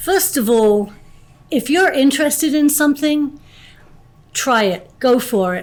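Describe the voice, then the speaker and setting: A woman speaks fairly slowly with lively intonation while music plays in the background. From England, London. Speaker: school board member. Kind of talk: interview.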